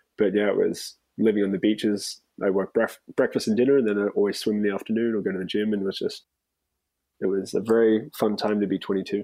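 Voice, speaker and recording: A man with an Australian accent talks at a very fast pace in a fairly low pitch. His intonation is monotone and flat, his tone dark and mellow. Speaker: bar manager. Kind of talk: casual chat. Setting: video call.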